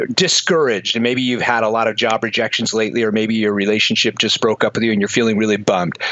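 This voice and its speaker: Against noticeable background noise, a man talks very fast. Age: 50s. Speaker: motivational author and entrepreneur. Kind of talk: interview. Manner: animated.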